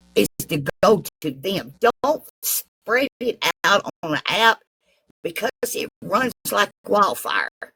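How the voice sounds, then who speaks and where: Someone talks at a very slow pace with a Southern accent. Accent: Southern, mocked as hillbilly. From US South. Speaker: live-stream chat participant. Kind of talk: casual chat.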